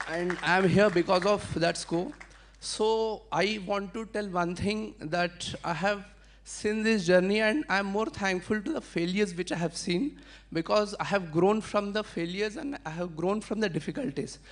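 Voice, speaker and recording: The speaker talks at a moderate pace with a Marathi accent. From India, Adilabad, Telangana. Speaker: civil services exam winner. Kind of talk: testimony.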